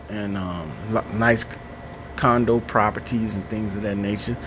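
Room echo is audible as a man speaks over noticeable background noise. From Chicago, West Side. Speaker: podcast host. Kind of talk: solo monologue. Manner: casual, with many fillers.

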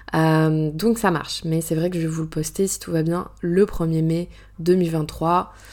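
A woman's fairly low voice at a very slow pace, flat and monotone in intonation. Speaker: podcast host and author. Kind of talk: solo casual monologue. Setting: alone in a bedroom. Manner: hesitant, many fillers; natural, unscripted.

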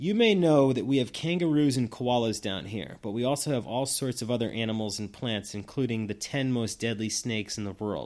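At a fairly quick pace, a man with an American accent speaks at medium pitch with ordinary pitch variation. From Massachusetts. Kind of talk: testimony.

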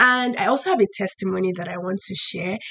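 A woman talks at a fairly quick pace in a medium, somewhat breathy voice. Her pitch varies in an ordinary way. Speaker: podcast host. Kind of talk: casual monologue podcast.

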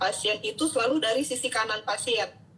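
A woman with a high voice talks at a moderate pace amid noticeable background noise. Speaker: doctor, health educator host. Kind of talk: casual interview. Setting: Instagram live stream.

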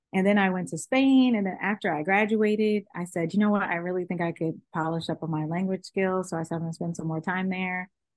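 With a Californian accent, a woman speaks at a very fast pace with hardly any pauses. Her medium pitch shows ordinary variation over a quiet background. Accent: Californian American English. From Los Angeles. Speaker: estate planning attorney. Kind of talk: interview.

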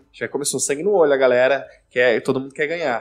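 A man with a medium-pitched voice talks while music plays behind him. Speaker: podcast host. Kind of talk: casual chat.

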